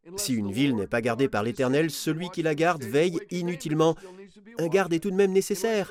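A man talks at a fairly quick pace with a fairly high pitch and lively intonation. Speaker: preacher. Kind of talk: sermon, earnest Bible teaching. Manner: earnest, warm, conversational, emphatic.

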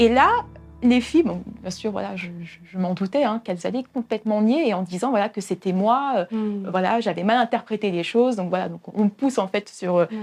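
A woman talks at a moderate pace. Her medium pitch shows ordinary variation. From Paris region, France. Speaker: youth church leader. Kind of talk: testimony. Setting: hair salon. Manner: halting.

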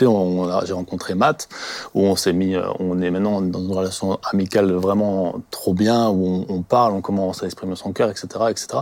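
A man's plain, everyday voice, fairly low in pitch, at a moderate pace. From France, Alsace (Colmar area). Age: 20s. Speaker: church member sharing life story. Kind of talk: personal testimony.

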